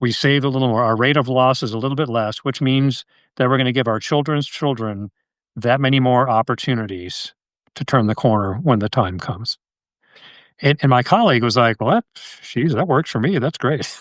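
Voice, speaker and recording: A man with an American accent speaks with ordinary pitch variation over a quiet background. He has a plain, everyday voice. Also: medium pitch for a man, fairly quick pace, dry, close sound with no echo. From Connecticut, US. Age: 60s. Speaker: wildlife biologist and conservationist. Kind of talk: casual podcast interview.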